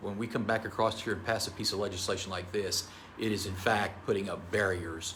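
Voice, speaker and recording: In an American accent, a man talks fairly quickly in a fairly low pitch with monotone, flat intonation and audible room echo. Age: 60s. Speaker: state senator. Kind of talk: press conference statement.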